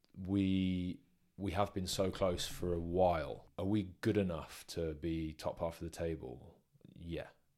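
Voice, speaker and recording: A man speaks at a fairly slow pace in a very deep, low voice with a dark, mellow tone and fairly even intonation. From England, Worcester, partly raised in Northern Ireland. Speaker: professional rugby player. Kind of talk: casual interview.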